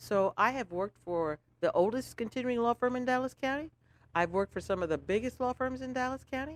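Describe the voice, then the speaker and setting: In a dry, close sound with no echo, a high-pitched woman with an American accent speaks fairly quickly in an animated tone with lively intonation. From St. Croix, US Virgin Islands. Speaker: lawyer and business owner. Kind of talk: casual interview chat.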